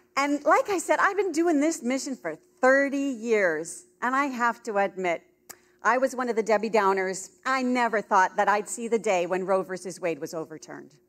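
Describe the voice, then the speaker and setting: A loud woman's voice, fairly high in pitch, with very wide pitch swings at a moderate pace, on a very clean recording with a silent background. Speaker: pro-life speaker. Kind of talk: convention keynote talk. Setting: stage with audience. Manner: animated.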